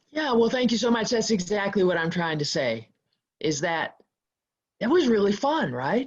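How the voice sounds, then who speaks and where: A woman speaks at a moderate pace in a medium pitch, with very wide pitch swings. She leaves long, frequent pauses. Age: 60s. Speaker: biochemist and climate activist. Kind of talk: interview. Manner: loud.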